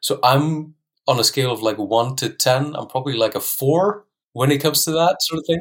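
In an Icelandic accent, a man speaks at a fairly high pitch. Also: ordinary pitch variation, fairly quick pace. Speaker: language teacher. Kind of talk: casual interview chat. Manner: laid-back, calm.

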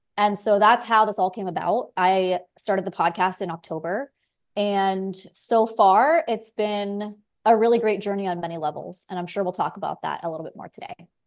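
Over a quiet background, a woman with an American accent speaks in a plain, everyday voice at a medium pitch and moderate pace, with ordinary pitch variation and big swings in loudness. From South Florida. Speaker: podcast host, physician assistant. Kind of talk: interview, faith conversation.

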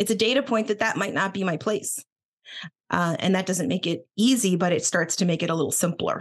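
With an American accent, a woman speaks fairly quickly in an unremarkable speaking voice at medium pitch, using ordinary pitch variation and very even loudness. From Boston, US Northeast; Philadelphia. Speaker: attorney and executive coach. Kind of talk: casual interview chat.

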